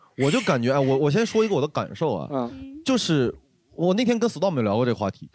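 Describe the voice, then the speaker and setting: Over a very clean recording with a silent background, a man speaks at a very fast pace in an animated tone. His pitch is fairly high and swings very widely. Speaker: stand-up comedian. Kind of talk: casual chat.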